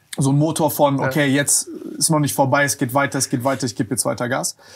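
Over a quiet background, a man talks at a fairly high pitch in a somewhat breathy voice. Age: 20s. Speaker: podcast host. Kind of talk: casual interview chat. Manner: casual, colloquial. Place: studio. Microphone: lapel.

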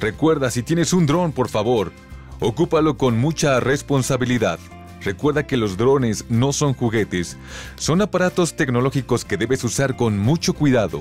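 Very wide pitch swings at a moderate pace, loudness very even, with music playing in the background. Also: man, medium pitch for a man. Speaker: voice-over narrator. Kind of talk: voice-over narration of an informational video.

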